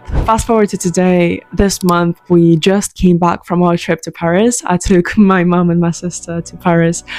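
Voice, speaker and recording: Someone with a Ukrainian accent speaks in a monotone, flat way while music plays in the background. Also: woman, fairly low pitch for a woman, moderate pace, hardly any pauses. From southern Ukraine (Mykolaiv). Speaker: online entrepreneur. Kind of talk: personal testimony. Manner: earnest, emotional.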